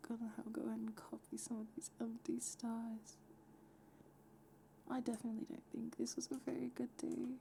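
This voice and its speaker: The voice is soft-spoken and whispering. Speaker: VTuber streamer. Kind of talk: casual talk to camera. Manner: whispered, soft-spoken.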